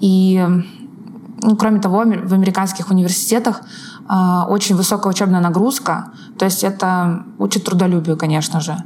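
A woman talks at a moderate pace and a medium pitch, with long, frequent pauses. Noticeable background noise and audible room echo are present. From northern Russia, Arkhangelsk region. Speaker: online course instructional designer. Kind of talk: podcast interview. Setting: call between Moscow and Seattle.

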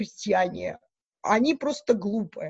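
A woman's fairly high-pitched voice at a very slow pace, with lively intonation. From Belarus, Mogilev region. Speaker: Wikipedia editor, university researcher. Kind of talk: interview.

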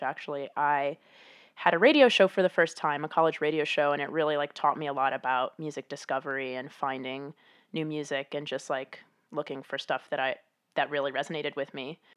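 A woman with an American accent and a very deep, low pitch, speaking at a fairly quick pace over a quiet background. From US Midwest, Chicago. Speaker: music editor. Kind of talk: casual chat.

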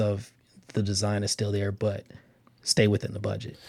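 On a very clean recording with a silent background, a man with a somewhat breathy voice speaks at a moderate pace. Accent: American. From Los Angeles, California. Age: 20s. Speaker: construction manager, architecture alumnus. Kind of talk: interview. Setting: studio.

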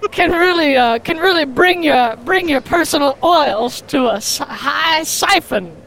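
A woman's put-on character voice, high-pitched and fairly bright, with vocal fry and lively intonation at a fairly slow pace, over faint background noise

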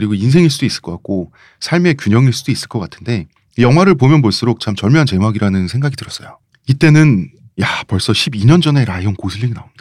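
Lively intonation at a very fast pace. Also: man, medium pitch for a man. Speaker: podcast host and writer. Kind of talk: casual chat.

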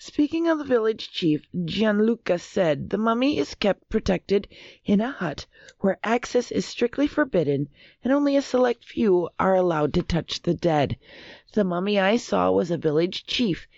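With an American accent, a woman talks at a moderate pace and medium pitch, her loudness very even while her pitch swings very widely. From US Upper Midwest, Minnesota. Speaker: quiz show panelist. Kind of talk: reading news stories aloud.

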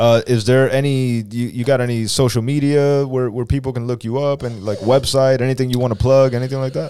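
Against noticeable background noise, a man with an American accent speaks fairly quickly at a medium pitch, monotone and flat, with hardly any pauses. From US, Dominican family. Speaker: podcast co-host. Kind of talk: casual chat. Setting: studio.

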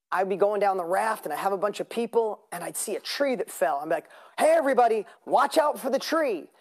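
Full of energy, a woman speaks at a fairly quick pace with a fairly high pitch that swings very widely. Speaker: business coach. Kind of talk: motivational seminar. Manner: energetic.

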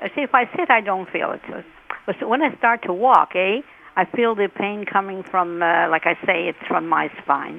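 A woman at medium pitch and moderate pace, lively intonation, noticeable background noise. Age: old. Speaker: caller. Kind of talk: call-in question. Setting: phone call.

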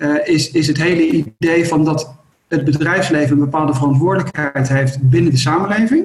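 A man with a normal speaking voice, fairly high in pitch, with very even loudness and fairly even intonation. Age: 50s. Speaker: company co-founder. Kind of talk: interview.

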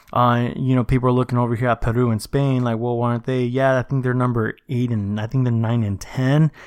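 A man talks very fast at a medium pitch, monotone and flat, with very even loudness. The background is quiet. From Mexico. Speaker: soccer podcast host. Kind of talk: solo podcast commentary. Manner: casual, filler-heavy.

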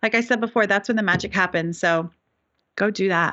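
With an American accent and a normal speaking voice, this speaker talks at a fairly quick pace with ordinary pitch variation. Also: woman. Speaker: business coach. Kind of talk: casual interview chat.

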